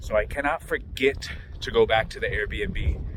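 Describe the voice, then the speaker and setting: Noticeable background noise accompanies a man speaking with an American accent. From Florida. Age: 40s. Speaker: online reseller and coach. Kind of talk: casual vlog talk.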